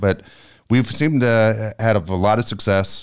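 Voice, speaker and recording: In a very clean recording with a silent background, a man speaks with ordinary pitch variation. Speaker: radio host and youth baseball coach. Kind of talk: casual chat. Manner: calm, never loud.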